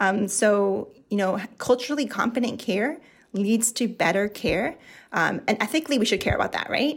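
Pitch rises and falls in an ordinary way here. There is a somewhat breathy quality to the voice. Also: woman, fairly high pitch for a woman, moderate pace. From Mexico. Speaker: dental hygienist. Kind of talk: interview. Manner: frequent fillers (um, like).

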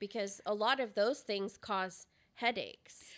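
On a very clean recording with a silent background, a woman with a plain, everyday voice talks at a moderate pace with fairly even intonation. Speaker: podcast co-host. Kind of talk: casual chat. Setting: recording at a co-host's house.

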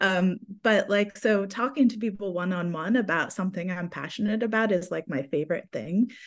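Speaking at a fairly quick pace with hardly any pauses, a woman uses a medium pitch with ordinary pitch variation. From United States. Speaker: fantasy author. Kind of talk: casual interview chat.

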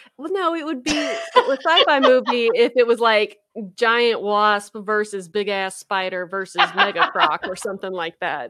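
Speaking at a moderate pace, a woman with an American accent sounds animated, bright and sharp, her fairly high pitch swinging very widely. Her loudness also rises and falls in big swings. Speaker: podcast co-host, graduate student scientist. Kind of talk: casual chat.

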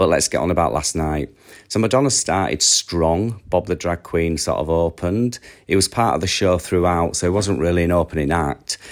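A man with a very deep, low voice talks at a moderate pace with ordinary pitch variation. The recording is very clean, with a silent background. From Yorkshire, northern England. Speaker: listener sending voice memo, superfan. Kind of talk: recorded voice message.

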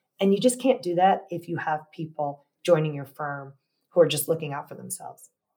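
A woman's very deep, low voice, dark and mellow in tone, at a fairly quick pace, with lively intonation and big swings in loudness. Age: 50s. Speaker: lawyer and law firm co-founder. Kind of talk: interview.

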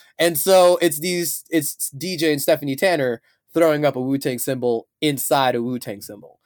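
In a dry, close sound with no echo, a man with an American accent uses a plain, everyday voice at a moderate pace with lively intonation. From Chicago. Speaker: interviewee. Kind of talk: casual interview.

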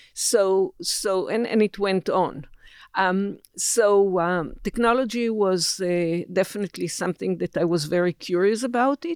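At a fairly slow pace, a woman with an Israeli accent talks at medium pitch with ordinary pitch variation, the sound dry and close with no echo. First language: Hebrew. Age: 70s. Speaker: technology executive. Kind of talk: interview. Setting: studio. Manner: halting.

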